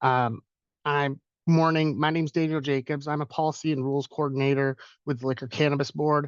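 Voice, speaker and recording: A man is heard in a dry, close sound with no echo against a quiet background. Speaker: government policy and rules coordinator. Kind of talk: webinar presentation. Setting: video call webinar. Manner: fast.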